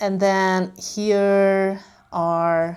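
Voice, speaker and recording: In a very clean recording with a silent background, a woman with a Hungarian accent speaks with fairly even intonation. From Hungary. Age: 30s. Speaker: lifestyle vlogger. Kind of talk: casual vlog.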